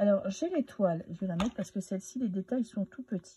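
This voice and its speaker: Somewhat breathy and dark, mellow in tone, a woman's medium-pitched voice comes through with a dry, close sound and no echo. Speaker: tarot card reader. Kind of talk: casual monologue. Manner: hesitant, many filler sounds.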